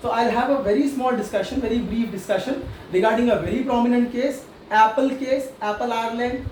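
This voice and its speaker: Over noticeable background noise and audible room echo, a man talks with ordinary pitch variation. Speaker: tax lecturer. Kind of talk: online lecture. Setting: online class. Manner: fast.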